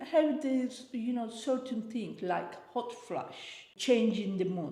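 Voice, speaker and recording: With audible room echo and noticeable background noise, a woman speaks at a fairly slow pace in a fairly high pitch and with lively intonation. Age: 60s. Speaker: interviewee, host's mother. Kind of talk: casual interview chat. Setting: sitting on a sofa.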